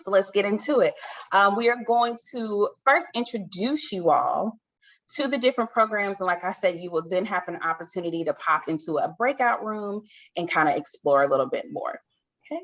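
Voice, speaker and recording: A woman talks at a moderate pace and medium pitch. Her tone is animated, with very wide pitch swings. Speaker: event host. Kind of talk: virtual event hosting.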